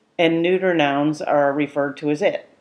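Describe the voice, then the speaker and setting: A woman talks in a normal speaking voice. Her pace is moderate and her pitch variation ordinary. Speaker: Irish language teacher. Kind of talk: language lesson narration.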